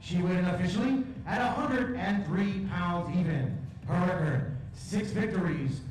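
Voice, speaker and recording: Strong room echo carries a man's voice over light background noise. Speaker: ring announcer. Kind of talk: formal fight announcement. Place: hall.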